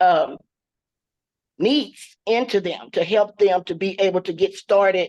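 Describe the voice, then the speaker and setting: A woman has an unremarkable speaking voice at medium pitch with fairly even intonation. The sound is dry and close with no echo, over a quiet background. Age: 60s. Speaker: social worker, audience member. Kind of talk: question and answer comment.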